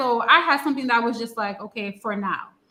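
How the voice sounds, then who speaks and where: A woman speaks at a moderate pace with a high pitch and ordinary pitch variation. Her tone is bright and sharp. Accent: New York. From US, New York, Haitian family. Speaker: Haitian-American who moved to Haiti. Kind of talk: interview on a live stream. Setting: online live stream.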